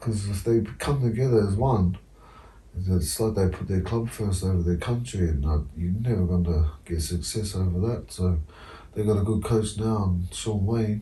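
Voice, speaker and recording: Speaking with a New Zealand accent, a man uses a fairly low pitch, ordinary pitch variation and a moderate pace. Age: 30s. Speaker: former rugby league player. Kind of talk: casual chat.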